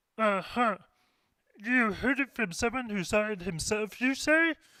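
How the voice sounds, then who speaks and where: A man performs a cartoonish character voice. The recording is very clean, with a silent background. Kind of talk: fictional dramatization monologue. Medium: puppet.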